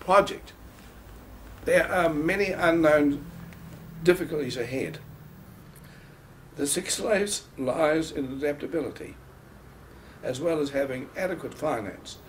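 Over light background noise, a man with a New Zealand accent speaks at a fairly slow pace and fairly high pitch, with ordinary pitch variation and long, frequent pauses. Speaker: property valuer and developer. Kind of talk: interview answer. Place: home room. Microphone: camera far.

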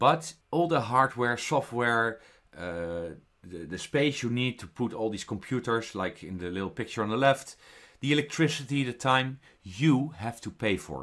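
A man's medium-pitched voice with a Dutch accent, lively intonation and big swings in loudness at a moderate pace, in a very clean recording with a silent background. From Netherlands. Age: 40s. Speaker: network marketer. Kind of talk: sales pitch.

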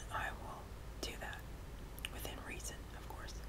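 Loud background noise fills the recording. Over it, a woman speaks at a moderate pace. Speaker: ASMR channel host. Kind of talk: casual vlog chat.

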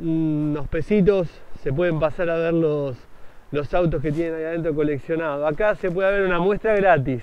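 The man's speech, dry with no echo, moves at a moderate pace with ordinary pitch variation. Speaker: motovlogger. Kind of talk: casual vlog commentary. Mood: enthusiastic, admiring. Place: street. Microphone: phone near.

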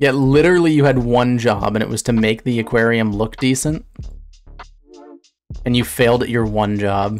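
A man talks at a moderate pace with fairly even intonation. Faint music plays in the background. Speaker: streamer. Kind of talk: casual reaction commentary. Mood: amused, laughing often. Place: home room. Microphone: studio mic.

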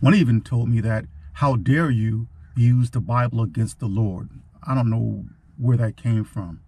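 A man's somewhat breathy voice at medium pitch, with a dark, mellow tone. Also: dry sound with no echo. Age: old. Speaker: war veteran. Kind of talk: casual talk to camera. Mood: firm, defiant. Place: car. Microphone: phone near.

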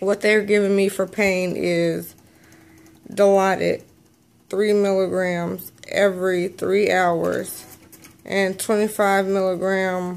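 Very slowly, a woman speaks in a monotone, flat way at very even loudness. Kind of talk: casual vlog chat. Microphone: phone near.

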